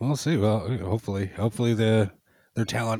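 In a dry, close recording with no echo, a man speaks at a fairly quick pace with a dark, mellow tone. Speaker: podcast guest. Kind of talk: casual chat.

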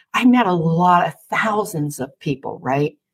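Somewhat breathy and animated in tone, a woman speaks fairly slowly with very wide pitch swings. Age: 60s. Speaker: intuition coach for women business owners. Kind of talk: podcast interview.

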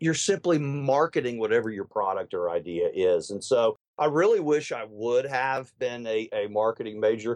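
A man with a plain, everyday voice, medium in pitch, with lively intonation, at a moderate pace with hardly any pauses, in a dry, close sound with no echo. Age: 40s. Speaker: political consultant. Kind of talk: interview.

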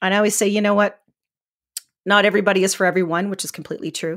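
In a very clean recording with a silent background, a woman with a Canadian accent speaks in an animated tone at a medium pitch. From Canada, northern Alberta. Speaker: image consultant and life coach. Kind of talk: casual interview chat.

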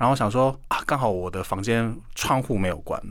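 A man with a fairly low pitch and ordinary pitch variation, at a moderate pace. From South Korea. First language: Korean (speaking Chinese). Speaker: Korean language teacher and YouTuber. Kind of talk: radio interview.

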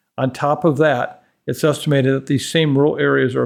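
A man talks at a fairly quick pace, his pitch fairly high. He has a plain, everyday voice. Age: 60s. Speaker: infectious disease expert. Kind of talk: expert interview.

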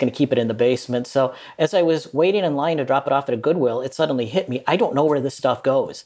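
Talking very fast, a fairly high-pitched man with an American accent shows ordinary pitch variation. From US Midwest, Minnesota. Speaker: journalist and author. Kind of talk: interview.

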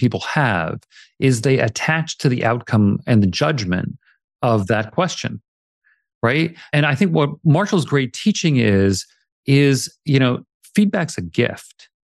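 A man's medium-pitched voice with very wide pitch swings, at a fairly slow pace, in a dry, close sound with no echo against a quiet background. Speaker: coach and author. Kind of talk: interview conversation.

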